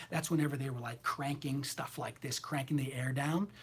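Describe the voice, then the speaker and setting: A man speaks with a fairly high pitch and a somewhat breathy quality. His tone is animated. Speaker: tarot reader. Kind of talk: livestream chat. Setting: live video stream.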